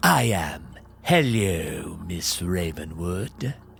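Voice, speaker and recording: A man puts on a character voice that is very deep and low. He speaks very slowly over clear background noise. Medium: audio drama. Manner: laid-back, casual, cheerful.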